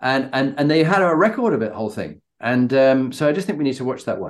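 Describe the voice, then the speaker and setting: A very fast British accent with lively intonation. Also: man. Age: 60s. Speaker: podcast host and leadership coach. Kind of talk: interview.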